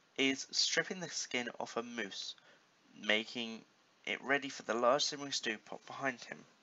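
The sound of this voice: Heard here is an unforced reading voice. Pitch moves with ordinary variation.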